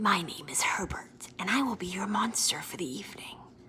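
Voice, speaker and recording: A female-sounding, put-on character voice whispers breathily at a fairly quick pace. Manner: polite, formal.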